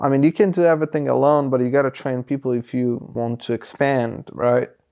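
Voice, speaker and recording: Against a quiet background, a man speaks with a dark, mellow tone. His pitch is medium, with ordinary variation. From Uzbekistan. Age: 20s. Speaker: trucking company owner and dispatcher. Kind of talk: interview.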